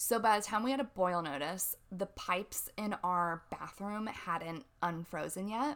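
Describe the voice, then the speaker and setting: An ordinary speaking voice goes at a fairly slow pace with lively intonation. There are hardly any pauses. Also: woman, medium pitch for a woman. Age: 20s. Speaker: former middle school teacher. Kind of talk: casual chat.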